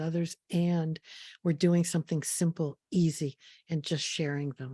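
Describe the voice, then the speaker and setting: Dry and close with no echo, a woman's voice has a dark, mellow tone and a fairly low pitch. She speaks at a moderate pace in a flat monotone. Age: 70s. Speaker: therapist and teacher. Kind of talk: online workshop lecture. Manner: hesitant, repetitive fillers.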